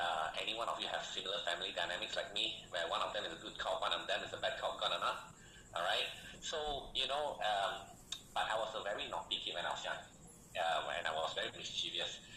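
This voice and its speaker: A man talking at a very fast pace, with audible room echo and noticeable background noise. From Malaysia. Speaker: online business coach. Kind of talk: sales pitch. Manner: animated.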